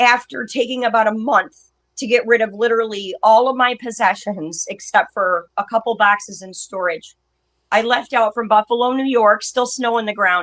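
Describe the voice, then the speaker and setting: A woman's fairly high voice moves at a moderate pace, with pitch shifting in an ordinary way. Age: 50s. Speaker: nomadic bicycle traveler and video maker. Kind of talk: interview conversation.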